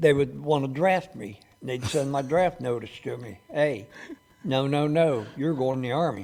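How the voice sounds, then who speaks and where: With an American accent, a man talks at a moderate pace and fairly high pitch with ordinary pitch variation. His loudness swings widely over noticeable background noise. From US Midwest, Cincinnati, Ohio. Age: 70s. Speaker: war veteran. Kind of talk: interview. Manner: halting.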